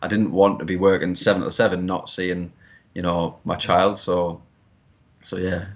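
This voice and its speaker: With a Geordie accent, a man speaks at a moderate pace in a very deep, low voice and a monotone, flat intonation. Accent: Geordie, northern English. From Newcastle, northern England. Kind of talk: casual interview chat.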